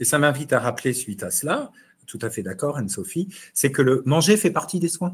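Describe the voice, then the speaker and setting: A man talks at a fairly quick pace in a somewhat breathy, fairly high voice, his pitch swinging very widely. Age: 60s. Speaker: immunopharmacology professor and chef. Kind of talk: online webinar discussion. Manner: hesitant, repeats words.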